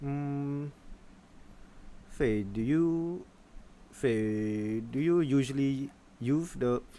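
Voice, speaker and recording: A man with a fairly high pitch speaks at a very slow pace, leaving long, frequent pauses. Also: ordinary pitch variation. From Malaysia. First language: Malay. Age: 20s. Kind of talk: casual conversation.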